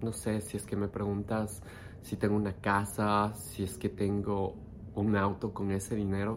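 This man talks at a fairly slow pace with a fairly low pitch. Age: 30s. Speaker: meditation teacher and life coach. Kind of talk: personal storytelling monologue. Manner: unscripted, with hesitations.

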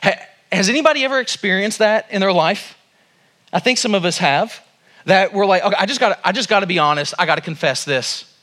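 With an American accent, the speaker uses a raised, projected voice with a bright, sharp tone, lively intonation and a fairly quick pace. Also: man, high pitch for a man. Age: 40s. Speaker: pastor. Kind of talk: sermon. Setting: church.

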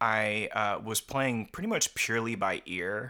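On a very clean recording with a silent background, a man speaks fairly slowly at a medium pitch, in a bright, sharp tone with ordinary pitch variation. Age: 30s. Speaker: filmmaker and musician. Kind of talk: casual chat.

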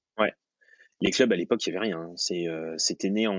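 A man is speaking. His pace is moderate. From France, Haute-Savoie (Thonon). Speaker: professional freediver. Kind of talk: interview. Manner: hesitant, repeats words.

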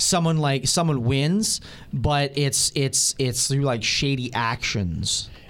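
With ordinary pitch variation and a fairly high pitch, this man speaks in an unremarkable speaking voice. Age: 20s. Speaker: wrestling fan guest. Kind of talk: casual review chat. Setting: radio studio.

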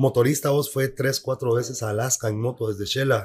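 A man's somewhat breathy, medium-pitched voice with a Guatemalan accent. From Guatemala, Quetzaltenango. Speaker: photographer. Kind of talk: casual interview chat.

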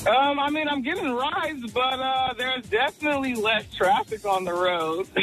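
The speaker keeps a moderate pace. Music plays in the background. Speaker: radio co-host. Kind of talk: morning radio show banter. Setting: radio studio. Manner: playful, teasing, upbeat.

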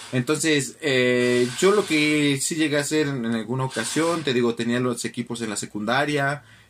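A plain, everyday voice speaks at a moderate pace with ordinary pitch variation. It goes on with hardly any pauses. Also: man, medium pitch for a man. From Mexico City. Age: 20s. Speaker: lawyer and football podcaster. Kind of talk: casual chat.

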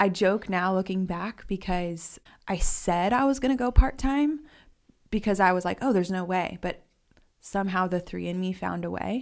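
An American accent marks this woman's unremarkable speaking voice, medium in pitch with ordinary pitch variation. She keeps a moderate pace in a very clean recording with a silent background. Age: 20s. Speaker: artist. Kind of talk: interview conversation.

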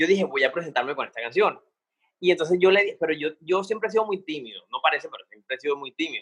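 Ordinary pitch variation marks this man's high-pitched speech. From Cartagena, Colombia. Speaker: singer. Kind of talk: casual interview.

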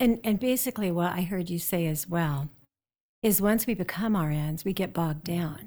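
A woman with an American accent talks at a moderate pace in a fairly low pitch. Her tone is dark and mellow, and her intonation is lively. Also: very clean recording, silent background. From US Midwest, South Dakota. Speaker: nursing professor. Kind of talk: interview.

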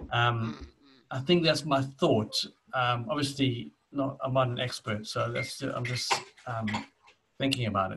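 In a South African accent, the speaker talks at a fairly slow pace with long, frequent pauses and ordinary pitch variation. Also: man, medium pitch for a man. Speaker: podcast co-host. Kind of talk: casual chat. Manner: halting.

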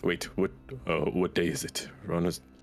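Clear background noise sits behind a man doing a put-on character voice. It is very deep and low, at a moderate pace. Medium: actual play. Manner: simple, broken English.

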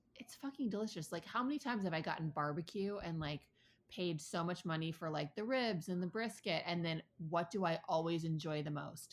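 With an American accent, a woman talks fairly quickly in an ordinary speaking voice, her fairly low pitch carried by lively intonation. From Ann Arbor, Michigan. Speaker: podcast co-host, former chef. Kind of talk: casual chat.

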